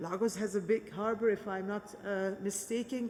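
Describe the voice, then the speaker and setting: This woman's intonation stays fairly even at a moderate pace, with noticeable background noise behind her. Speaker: politician. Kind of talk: speech at a peace conference. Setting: conference in a cathedral.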